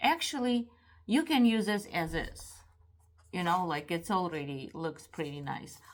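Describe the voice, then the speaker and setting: Her pitch rises and falls in very wide swings. The woman keeps a fairly slow pace. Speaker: craft maker. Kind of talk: tutorial. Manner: halting, many fillers.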